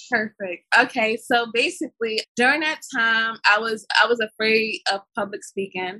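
The voice has an American accent and a bright, sharp tone at a moderate pace with hardly any pauses. Pitch varies in an ordinary way, in a dry, close sound with no echo. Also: woman, fairly high pitch for a woman. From Brooklyn, New York. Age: 20s. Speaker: film production company founder. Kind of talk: interview. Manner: halting.

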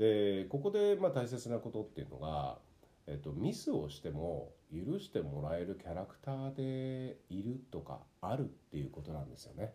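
Very wide pitch swings, big shifts in loudness, a dark, mellow tone and a moderate pace. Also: man, fairly low pitch for a man. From Tokyo, Japan. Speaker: actor and narrator, podcast host. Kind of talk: casual solo talk.

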